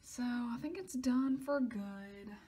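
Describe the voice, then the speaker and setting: Her voice is dark and mellow, with a fairly high pitch for a woman and ordinary pitch variation. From US South. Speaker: vlogger. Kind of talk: casual vlog monologue. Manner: animated.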